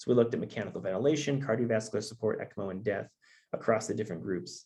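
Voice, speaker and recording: Somewhat breathy and dark, mellow in tone, a man with a medium pitch and ordinary pitch variation speaks at a very fast pace. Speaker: researcher presenting data science results. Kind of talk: conference presentation. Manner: halting, many fillers.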